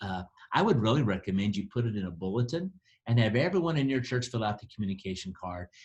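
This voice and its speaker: This is a man's voice, fairly low in pitch. It sounds somewhat breathy. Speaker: church planting director. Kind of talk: training talk. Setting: district office recording. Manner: fast.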